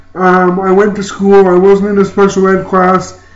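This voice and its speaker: A man with a Canadian accent speaks at a fairly quick pace in a high voice, with noticeable background noise behind him. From Ontario, Canada. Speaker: YouTuber and motivational speaker. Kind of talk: personal vlog testimony. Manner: halting, many fillers.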